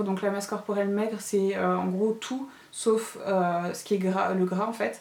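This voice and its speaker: In a room with audible echo, a woman at a medium pitch talks at a fairly slow pace with fairly even intonation. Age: 30s. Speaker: lifestyle vlogger. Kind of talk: casual vlog product review. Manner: hesitant, many fillers.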